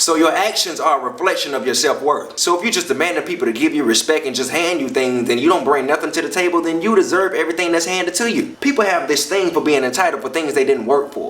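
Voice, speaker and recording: Amid noticeable background noise, a man with a high pitch talks very fast with lively intonation and hardly any pauses. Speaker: comedian and spoken word performer. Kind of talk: motivational talk to camera.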